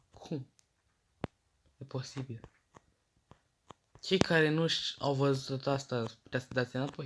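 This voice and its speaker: Somewhat breathy male speech at a fairly slow pace, with fairly even intonation and long, frequent pauses. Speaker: gaming youtuber. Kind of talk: gameplay commentary.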